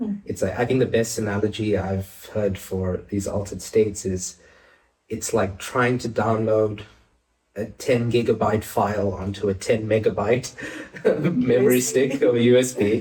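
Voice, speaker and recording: Somewhat breathy and dark, mellow in tone, a man speaks at a fairly low pitch and a moderate pace with fairly even intonation. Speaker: clinical psychologist. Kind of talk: interview answer. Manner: gentle, calming.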